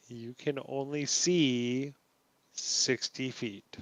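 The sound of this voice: Speaking at a very slow pace, a man uses a medium pitch with a fairly bright tone and fairly even intonation.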